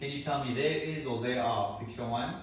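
A man talks at a fairly quick pace. Room echo is audible around his voice. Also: medium pitch for a man, ordinary pitch variation.

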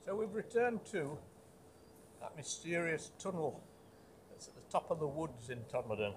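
Lively intonation from a man at a moderate pace, with light background noise. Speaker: urban explorer vlogger. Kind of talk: casual vlog chat. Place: forest. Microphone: phone near.

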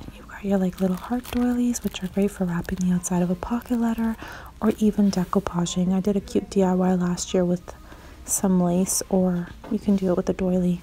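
A fairly quick pace over light background noise. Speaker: shopping vlogger. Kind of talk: casual vlog chat. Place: shop. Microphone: phone near.

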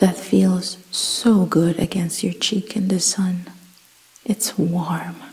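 Soft-spoken and very slow, a woman talks at medium pitch with fairly even intonation over noticeable background noise. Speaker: ASMR guided meditation host. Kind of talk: guided meditation / sleep hypnosis narration. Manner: soft-spoken, slow, calming.

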